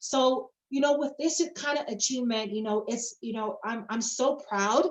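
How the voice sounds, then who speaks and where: A woman speaks at a moderate pace with a fairly high pitch. Her tone is animated, with ordinary pitch variation. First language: not English. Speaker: network marketing presenter. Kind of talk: sales presentation.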